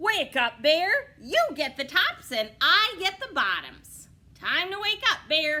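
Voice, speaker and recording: In a put-on character voice, a woman speaks at an extremely high pitch with very wide pitch swings. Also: fairly slow pace. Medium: read story. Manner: bright, smooth-talking.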